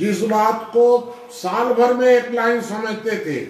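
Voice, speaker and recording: A man speaks in a monotone with flat intonation and an extremely high pitch. The room echo is audible. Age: 80s+. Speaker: social thinker and activist. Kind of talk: life-story talk to an audience.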